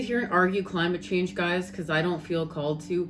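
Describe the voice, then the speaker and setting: A woman with a Canadian accent talks at a moderate pace in a normal speaking voice pitched fairly low. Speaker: spiritual tarot reader. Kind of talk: casual spiritual vlog talk.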